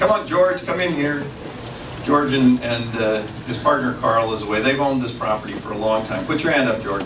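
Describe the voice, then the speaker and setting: Noticeable background noise and audible room echo fill the recording. The speech has lively intonation and a fairly quick pace. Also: man, medium pitch for a man. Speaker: meeting moderator. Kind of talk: public meeting moderation. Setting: community meeting room with audience and PA speakers. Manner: loud.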